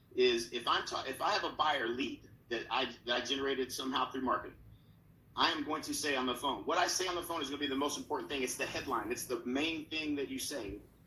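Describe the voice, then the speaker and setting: A man with an American accent talks at a very fast pace. Audible room echo surrounds his voice. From Oklahoma. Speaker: real estate coach. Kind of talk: conference talk. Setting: virtual conference.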